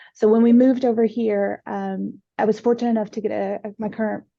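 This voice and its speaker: A woman with an American accent talks at a fairly quick pace in a dark, mellow tone with monotone, flat intonation. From USA. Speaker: IT business partner. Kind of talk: panel interview. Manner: hesitant, many fillers.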